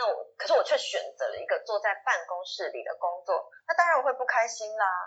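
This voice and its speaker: A woman at a moderate pace. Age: 30s. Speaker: social media consultant. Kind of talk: casual interview chat.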